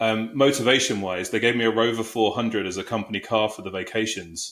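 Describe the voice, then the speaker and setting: Speech in a British accent comes at a fairly quick pace with fairly even intonation. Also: man. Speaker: HR executive. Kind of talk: interview.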